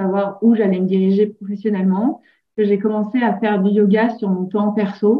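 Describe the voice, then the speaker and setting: Somewhat breathy, a woman with a medium pitch speaks at a fairly slow pace. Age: 30s. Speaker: yoga teacher. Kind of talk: interview.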